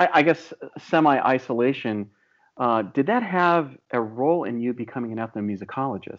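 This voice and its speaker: A man with an American accent speaks at a moderate pace in an ordinary speaking voice. His intonation is lively. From US, Illinois. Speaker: podcast host. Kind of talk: interview. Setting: video call.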